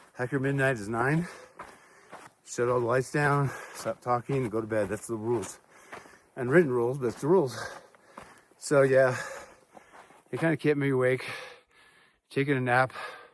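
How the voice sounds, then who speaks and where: The speech moves at a moderate pace with fairly even intonation. Long, frequent pauses break it up, and noticeable background noise runs underneath. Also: man, medium pitch for a man. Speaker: hiking vlogger. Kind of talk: casual vlog monologue. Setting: outdoors on a mountain trail.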